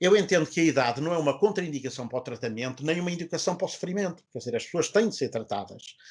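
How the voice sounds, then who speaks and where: Against a quiet background, the speaker talks at a very fast pace with lively intonation. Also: man. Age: 60s. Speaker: orthopedic surgeon. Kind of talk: health talk show interview. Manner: hesitant, many fillers.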